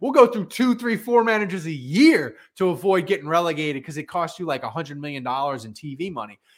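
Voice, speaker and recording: A man talks very fast in a high, animated voice with very wide pitch swings and big swings in loudness. The recording is very clean, with a silent background. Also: hardly any pauses. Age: 40s. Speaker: sports podcast host. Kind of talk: casual chat.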